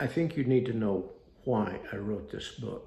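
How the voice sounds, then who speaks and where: A man speaks with audible room echo. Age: 80s+. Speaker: author reading his own book. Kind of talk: reading aloud. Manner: halting.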